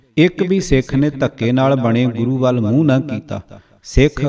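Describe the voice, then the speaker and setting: A man's medium-pitched voice, an unremarkable speaking voice with ordinary pitch variation. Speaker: audiobook narrator. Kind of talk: audiobook reading of religious history.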